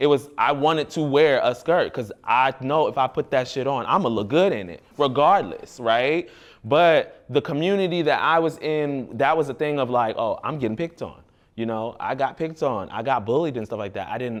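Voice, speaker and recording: Fairly high in pitch, this man has a plain, everyday voice. He keeps a moderate pace with ordinary pitch variation. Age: adult. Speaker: youth mentor in fashion program. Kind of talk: group discussion with youth.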